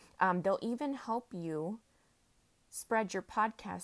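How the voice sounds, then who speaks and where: A woman with a fairly high pitch speaks at a fairly slow pace with lively intonation in an ordinary speaking voice. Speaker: podcast host. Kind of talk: motivational pep talk, solo rant. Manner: upbeat, chatty, warm and encouraging; filler-heavy, casual.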